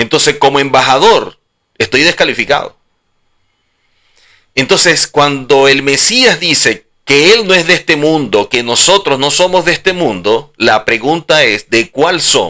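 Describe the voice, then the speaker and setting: A man with a Venezuelan accent speaks in a bright, sharp tone at very even loudness. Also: fairly high pitch for a man, lively intonation, fairly slow pace. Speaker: religious teacher. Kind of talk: religious lecture.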